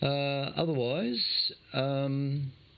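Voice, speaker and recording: A man talks with an Australian accent. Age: 60s. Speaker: amateur radio net host. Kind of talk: radio net monologue. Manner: casual, hesitant with many fillers.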